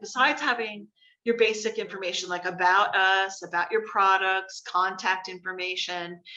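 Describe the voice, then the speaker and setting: With an American accent, a woman talks in a bright, sharp tone and fairly even intonation. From New Jersey (Morris County, Trenton area). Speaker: marketing instructor, creative director. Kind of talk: online class lecture with Q&A. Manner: casual, many fillers.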